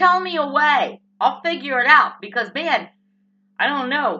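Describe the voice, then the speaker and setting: A woman's raised, projected voice, high-pitched, with a bright, sharp tone. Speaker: political vlogger. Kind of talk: opinion rant vlog. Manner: animated.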